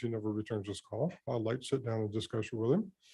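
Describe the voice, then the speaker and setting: The man's tone is dark and mellow, his pace fairly quick. The background is quiet. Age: 70s. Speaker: member of the public giving comment. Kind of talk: public comment at council meeting. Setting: county commission chambers. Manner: halting, many fillers.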